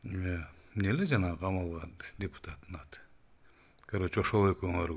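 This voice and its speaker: With a very deep, low pitch and a somewhat breathy sound, a man speaks at a moderate pace with ordinary pitch variation and big swings in loudness. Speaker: political commentator. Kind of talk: political rant. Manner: animated; halting.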